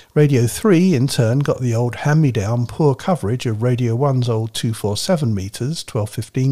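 Somewhat breathy, a man talks at a moderate pace with medium pitch and ordinary pitch variation. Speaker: radio history researcher and co-presenter. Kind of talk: reading aloud.

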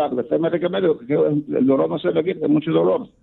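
Talking at a fairly quick pace, a man has a fairly high pitch. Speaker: caller. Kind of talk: phone call-in question. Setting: phone call. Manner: fast.

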